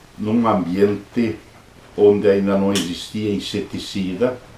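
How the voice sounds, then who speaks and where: A man with a fairly low voice speaks very slowly and with fairly even intonation, and the room echo is audible. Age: 70s. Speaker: Jesuit priest. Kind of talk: interview, life story.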